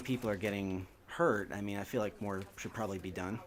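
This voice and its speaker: A man with a New Jersey accent speaks at a fairly quick pace in a fairly low pitch. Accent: New Jersey American. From US Northeast, New Jersey. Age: 30s. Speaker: gaming video host. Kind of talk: casual chat. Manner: halting.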